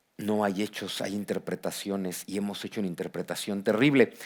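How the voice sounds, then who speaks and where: In a very clean recording with a silent background, a man with a Mexican accent speaks at a fairly quick pace in an animated tone. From Mexico. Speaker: historian and author. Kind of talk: book presentation talk. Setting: auditorium with audience.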